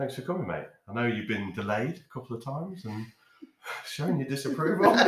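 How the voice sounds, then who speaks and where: A man with an English accent, medium pitch, lively intonation and a fairly quick pace. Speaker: podcast host. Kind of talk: casual chat. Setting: recording in a house.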